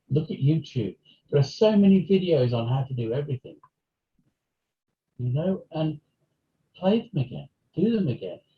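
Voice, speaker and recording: A man with a British accent speaks at a moderate pace, leaving long, frequent pauses. His fairly high voice has lively intonation. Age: 60s. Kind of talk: interview. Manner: halting.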